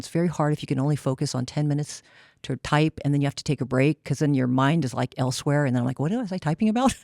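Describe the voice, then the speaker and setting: A woman speaks very fast in a dark, mellow tone, her pitch very deep and low. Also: dry, close sound with no echo, very clean recording, silent background. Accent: American. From California, Seaside. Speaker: psychologist. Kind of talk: panel discussion.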